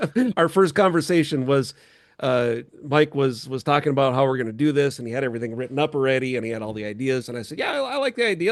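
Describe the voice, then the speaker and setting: Fairly high in pitch, a man speaks with an Upper Midwest accent and lively intonation. His pace is very fast. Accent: Upper Midwest American. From North Dakota (New Salem). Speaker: podcast host and producer. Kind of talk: casual chat.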